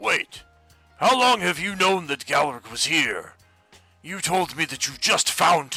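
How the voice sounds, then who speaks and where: Using a put-on character voice, a man speaks high and fairly slowly, with faint music in the background. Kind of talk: roleplay, fantasy game character. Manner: loud, bellowing.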